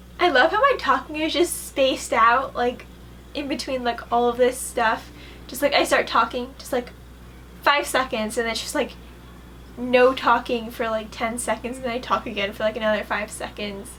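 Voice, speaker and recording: Noticeable background noise under a high-pitched woman's voice. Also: ordinary pitch variation. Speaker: bullet journal youtuber. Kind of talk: tutorial voiceover narration; casual reaction commentary. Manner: slow, awkward with long pauses.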